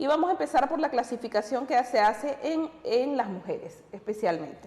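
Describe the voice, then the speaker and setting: Lively intonation from a woman with high pitch at a moderate pace, with noticeable background noise. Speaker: TV music program co-host. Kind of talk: educational TV talk show.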